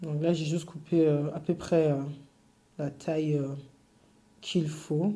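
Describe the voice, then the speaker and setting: A very slow pace broken by long, frequent pauses. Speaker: cake decorating teacher. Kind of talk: tutorial. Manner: halting, many fillers.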